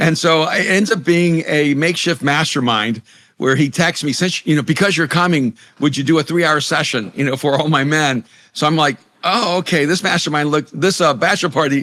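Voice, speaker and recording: On a very clean recording with a silent background, a man speaks at a fairly quick pace in a fairly high pitch, with a bright, sharp, animated tone and very even loudness. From El Salvador. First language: Spanish. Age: 60s. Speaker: pastor, author and leadership coach. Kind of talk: podcast interview. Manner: animated storytelling.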